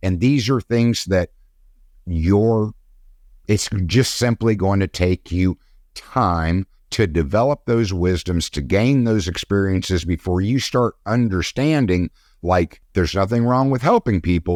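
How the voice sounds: A man's low, slightly mellow voice at a fairly slow pace, with ordinary pitch variation, a very clean recording, a silent background and a dry, close sound with no echo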